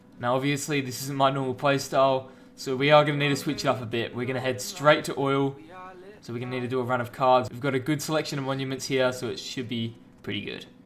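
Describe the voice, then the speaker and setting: A man talks at a very fast pace and a medium pitch over noticeable background noise. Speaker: video game player. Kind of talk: gameplay voice-over commentary. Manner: casual, relaxed.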